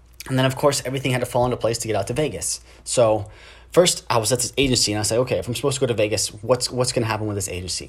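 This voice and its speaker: Somewhat breathy, a man speaks very fast with fairly even intonation. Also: very clean recording, silent background. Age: 30s. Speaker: podcast host. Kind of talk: solo monologue. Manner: casual.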